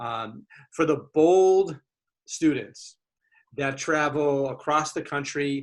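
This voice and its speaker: The speaker has a Boston accent and fairly even intonation. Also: man. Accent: thick Boston. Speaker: college admissions officer, panel moderator. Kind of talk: webinar moderation. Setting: video webinar.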